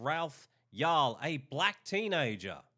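An angry man with an Australian accent, bright and sharp in tone, on a very clean recording with a silent background. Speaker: video commentator. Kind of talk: angry rant. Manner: angry, sarcastic; emphatic, repetitive.

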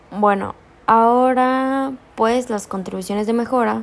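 A woman speaks in a normal speaking voice at a fairly high pitch, slowly and with fairly even intonation. The recording is very clean, with a silent background. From Chiapas, Mexico. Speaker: law student. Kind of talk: student presentation. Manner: formal.

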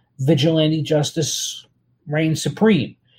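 In an American accent, a man speaks at a fairly slow pace with a fairly high pitch, a slightly mellow tone and a slightly husky edge.

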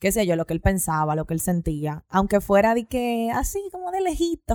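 This woman has an ordinary speaking voice, with medium pitch and a moderate pace. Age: 20s. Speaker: podcast host. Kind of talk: casual chat.

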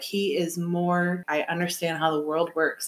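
A woman with an American accent has an ordinary speaking voice, medium in pitch. She talks at a fairly slow pace. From Michigan. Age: 30s. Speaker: podcast host. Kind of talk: casual chat.

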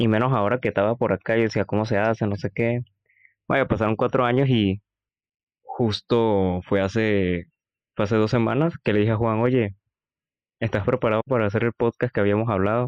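A man speaks at a fairly quick pace with a medium pitch, fairly even intonation and very even loudness, broken by long, frequent pauses. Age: 20s. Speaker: university student and podcast co-host. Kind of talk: casual chat.

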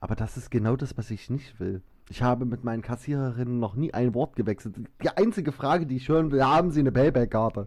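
With a slight Saxon accent, a man talks very fast at a medium pitch with ordinary pitch variation. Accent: slight Saxon dialect today. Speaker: podcast co-host. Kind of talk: casual chat. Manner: animated.

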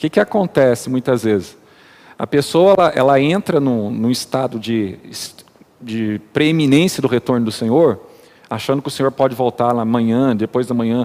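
Medium pitch, ordinary pitch variation and a moderate pace from a man with an unremarkable speaking voice. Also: dry, close sound with no echo. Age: 40s. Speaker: church elder. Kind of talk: casual chat.

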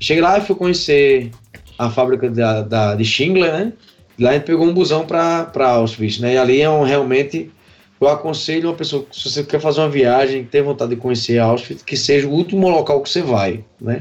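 The speaker has a normal speaking voice with ordinary pitch variation. The pace is moderate. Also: man, fairly high pitch for a man. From Paraíba, northeastern Brazil (Patos). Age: 30s. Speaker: festival-goer, music fan. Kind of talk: casual chat.

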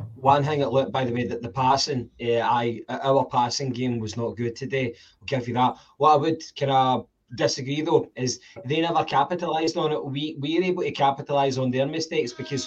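This speaker has a Scottish accent and a somewhat breathy voice. The pace is fairly quick and the intonation fairly even. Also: man, fairly high pitch for a man. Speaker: football podcast co-host. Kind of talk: casual chat.

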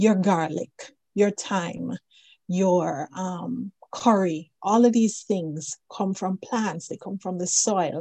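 Speaking very slowly, a woman with a medium pitch has a dark, mellow tone and ordinary pitch variation. The sound is dry and close, with no echo. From Jamaica. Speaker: plant-based nutrition author. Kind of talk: interview.

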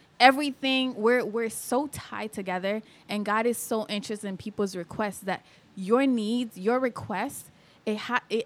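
A woman speaks in an animated tone, her pitch fairly high with ordinary variation. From Kenya (Thika), moved to US at 11. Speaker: beauty pageant titleholder. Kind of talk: casual chat.

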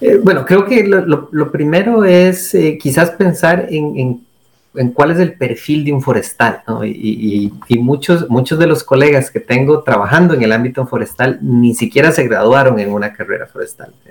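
Somewhat breathy and fairly high-pitched, a man speaks at a moderate pace with lively intonation and hardly any pauses. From Costa Rica. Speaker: forest engineer and researcher. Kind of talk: interview. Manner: halting, with many repetitions and fillers.

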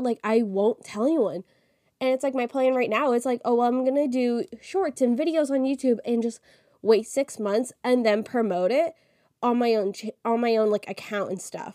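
At a moderate pace, a woman with a high pitch and a dark, mellow tone speaks with ordinary pitch variation, the sound dry and close with no echo. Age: 20s. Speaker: podcast host. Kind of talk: casual solo monologue.

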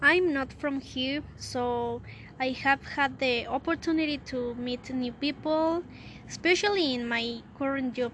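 With a Spanish accent, a woman speaks at a fairly slow pace in a high pitch with ordinary pitch variation. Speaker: student. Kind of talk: prepared self-introduction in a second language. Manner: halting.

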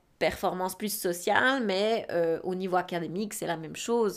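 A woman talks at a moderate pace with ordinary pitch variation and big swings in loudness, on a very clean recording with a silent background. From Switzerland. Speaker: podcast co-host. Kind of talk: casual chat. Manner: halting.

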